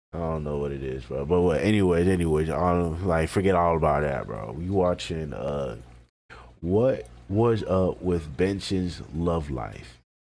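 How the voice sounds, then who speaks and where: Heard with audible room echo, a man with a very deep, low pitch talks at a fairly slow pace with lively intonation. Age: 20s. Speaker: reaction youtuber. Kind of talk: casual chat. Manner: casual slangy.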